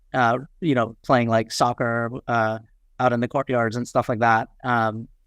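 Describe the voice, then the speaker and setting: A man's medium-pitched voice with a New York accent, flat and monotone, fairly slow, against a quiet background. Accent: New York American. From New York City (Queens), moved from Nepal at seven. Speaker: startup founder. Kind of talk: podcast interview. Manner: many fillers and repetitions.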